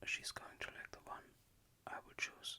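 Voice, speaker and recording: A woman whispers at a very slow pace in a German accent. Noticeable background noise sits behind her. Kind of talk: ASMR talk-to-sleep. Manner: soft-spoken, whispered; calm, hesitant.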